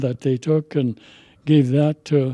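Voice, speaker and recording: A man's dark, mellow voice carries fairly even intonation in a dry, close recording with no echo. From interior Alaska (Yukon River village). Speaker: Alaska Native elder. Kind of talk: storytelling. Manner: halting.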